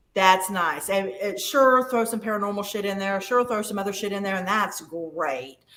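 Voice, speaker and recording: A woman speaks at medium pitch. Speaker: psychic medium. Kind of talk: casual chat.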